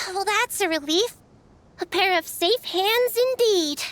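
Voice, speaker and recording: An extremely high-pitched, put-on character voice moves at a fairly slow pace. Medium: video game. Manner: nervous, earnest.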